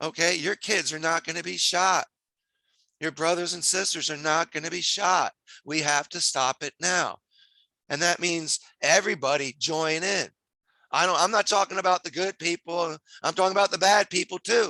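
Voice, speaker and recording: With an American accent, a man speaks at a high pitch and a moderate pace in a bright, sharp tone. The background is quiet. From New Jersey. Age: 60s. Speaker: community activist. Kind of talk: rally speech. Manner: animated.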